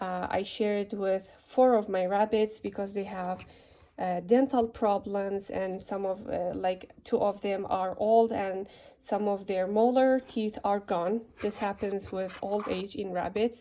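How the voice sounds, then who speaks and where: A woman with a non-native accent, a dark, mellow tone and fairly even intonation. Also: medium pitch for a woman, fairly slow pace. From Middle East. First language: not English. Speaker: rabbit care video maker. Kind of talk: tutorial. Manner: halting, with fillers.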